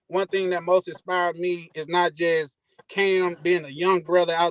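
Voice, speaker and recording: Dry and close with no echo, a man speaks in a high pitch with a Mississippi accent. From US, Army brat, Mississippi. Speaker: caller to a travel podcast. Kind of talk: casual chat. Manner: hesitant, many fillers.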